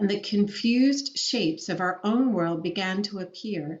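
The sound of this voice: The recording features an unforced reading voice.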